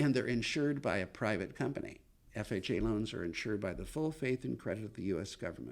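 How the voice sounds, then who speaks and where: Talking at a very fast pace, a man with a fairly low voice shows lively intonation and vocal fry. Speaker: mortgage loan officer. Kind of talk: podcast interview.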